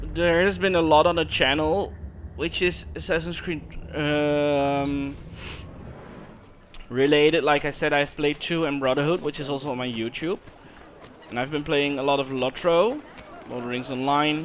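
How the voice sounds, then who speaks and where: Pausing long and often, a man with a Dutch accent speaks at a moderate pace in a fairly high voice with ordinary pitch variation, against noticeable background noise. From Netherlands. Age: 20s. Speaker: gaming streamer. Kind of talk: casual chat. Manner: halting, repeats words.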